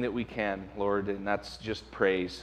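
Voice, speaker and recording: A man is speaking. He goes at a moderate pace. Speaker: pastor. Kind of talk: announcements then prayer. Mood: prayerful, soft. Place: church. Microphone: podium.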